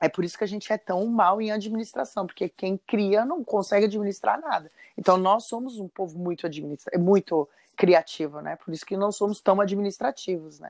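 A woman's ordinary speaking voice at a fairly quick pace, with big swings in loudness. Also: medium pitch for a woman, ordinary pitch variation. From Brazil, São José dos Campos, São Paulo state. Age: 40s. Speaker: chef. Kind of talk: casual interview.

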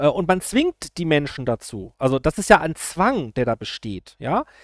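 Here a man speaks at a moderate pace, his pitch swinging very widely. The recording is very clean and dry, close with no echo and a silent background. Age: 40s. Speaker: YouTuber. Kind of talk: political commentary monologue. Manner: hesitant, many filler sounds.

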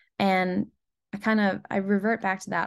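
A woman with an American accent speaks at a moderate pace in a medium pitch, her intonation monotone and flat, against a quiet background. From US Northeast, Rhode Island. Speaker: singer-songwriter. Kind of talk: interview, casual chat.

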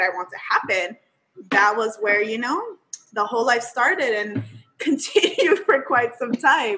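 Fairly high in pitch, a woman's voice has a bright, sharp tone and lively intonation. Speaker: podcast host. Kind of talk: casual chat podcast.

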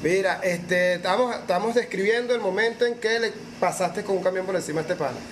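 Speaking very fast in a high voice with a Venezuelan accent, a man shows ordinary pitch variation over noticeable background noise. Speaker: podcast host. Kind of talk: casual chat.

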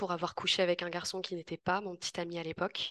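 A woman's voice, dry and close with no echo. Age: 20s. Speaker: youth justice educator. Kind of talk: testimony.

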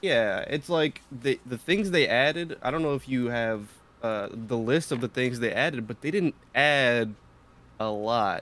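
A man speaks at a fairly slow pace with lively intonation. He has a plain, everyday voice. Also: medium pitch for a man. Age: 20s. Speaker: podcast producer. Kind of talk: casual chat.

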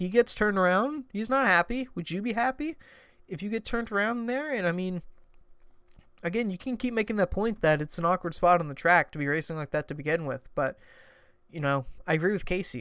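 Over a silent background in a very clean recording, a man speaks fairly quickly in a high pitch, his bright, sharp tone carried by lively intonation. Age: 20s. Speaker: solo sports podcast host. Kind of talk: casual solo commentary. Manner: halting, many fillers.

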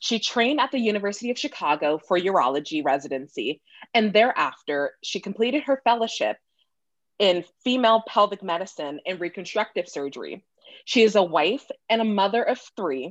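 Against a quiet background, a woman with an American accent talks at a fairly quick pace and a medium pitch, making very wide pitch swings in a dry, close sound with no echo. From California. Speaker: podcast host. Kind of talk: interview.

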